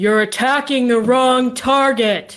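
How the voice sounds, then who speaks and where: Fairly high pitch in a put-on character voice. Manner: sinister, theatrical.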